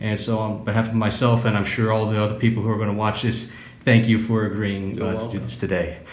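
Over light background noise and audible room echo, a man speaks at a very fast pace in a fairly low pitch with monotone, flat intonation. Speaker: interviewer. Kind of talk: interview questions. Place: home room.

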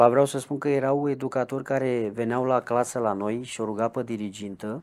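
A man talks at a moderate pace. His pitch is medium and his intonation fairly even. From Romania, Brașov; Romania. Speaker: ex-convict; interviewee. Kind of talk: interview testimony; interview answer. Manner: halting. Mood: reflective storytelling about childhood. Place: home room. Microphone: lapel.

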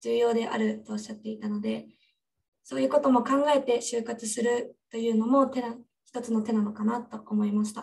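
A woman's somewhat breathy voice sits at a fairly high pitch with fairly even intonation. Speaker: student moderator. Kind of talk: webinar moderation. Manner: formal. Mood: polite, formal. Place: office. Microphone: studio mic.

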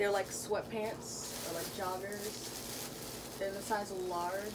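A woman at a very slow pace over loud background noise. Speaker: haul vlogger. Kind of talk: casual vlog chat. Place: home room. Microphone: camera far.

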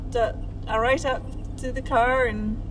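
Noticeable background noise runs under this recording. A woman talks at a moderate pace. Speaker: podcast host. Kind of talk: casual podcast chat. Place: car.

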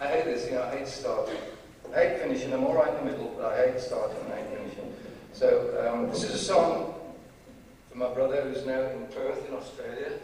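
Amid strong room echo and light background noise, a man speaks at a fairly quick pace. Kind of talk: stage banter between songs. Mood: self-deprecating, fumbling humor. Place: hall. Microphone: camera far.

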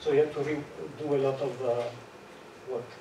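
Over audible room echo, a man with a dark, mellow tone speaks at a moderate pace in a medium pitch, keeping his intonation fairly even.

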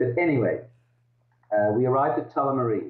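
Against a quiet background, a man speaks at a moderate pace with audible room echo. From Netherlands, raised in Australia. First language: Dutch. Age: 50s. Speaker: author; interviewee. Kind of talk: interview over video call. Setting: video call. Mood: reflective, somber at times. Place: home room. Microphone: video call.

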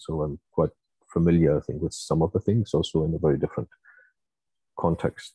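In a strong German accent, a man speaks with a very deep, low voice and monotone, flat intonation. The sound is dry with no echo, over a quiet background. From Germany. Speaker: university researcher. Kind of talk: lecture. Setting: video call. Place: home room. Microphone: earbuds.

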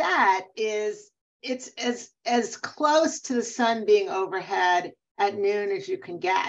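The speaker is a woman with a fairly high pitch. The rise and fall of her voice is ordinary. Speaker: neurologist and sleep medicine professor. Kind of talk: expert interview webinar. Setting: video call. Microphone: video call.

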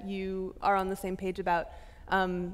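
At a fairly slow pace, a woman delivers her words. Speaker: moderator. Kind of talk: interview question. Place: stage. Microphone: headset.

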